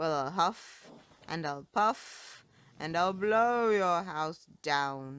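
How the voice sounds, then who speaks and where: A growling put-on character voice at a middle pitch moves at a very slow pace in a very clean recording with a silent background. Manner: snarling.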